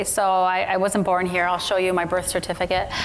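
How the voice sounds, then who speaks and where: A woman's medium-pitched voice with a Midwestern American accent, amid noticeable background noise and audible room echo. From Michigan, US (Royal Oak). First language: Arabic. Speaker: pediatrician and author. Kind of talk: onstage interview. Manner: halting, many fillers and restarts.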